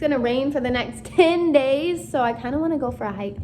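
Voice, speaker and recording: Music plays in the background as a woman speaks with ordinary pitch variation, her voice carrying audible room echo. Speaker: book-reading YouTuber. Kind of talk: casual reading aloud with commentary. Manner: casual, filler-heavy.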